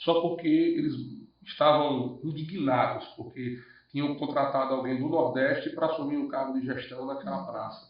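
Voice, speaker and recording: With a northeastern Brazilian accent, a man speaks at a moderate pace and a fairly high pitch with fairly even intonation, amid audible room echo. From Northeast Brazil. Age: 40s. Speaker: businessman. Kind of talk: podcast interview. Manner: halting, repeats words.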